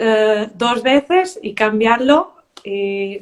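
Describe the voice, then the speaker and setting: The speaker has a Portuguese accent. Pitch varies in an ordinary way. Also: woman. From Portugal. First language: Portuguese (speaking Spanish). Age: 30s. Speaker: beauty queen and primary teacher. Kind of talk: interview. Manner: halting.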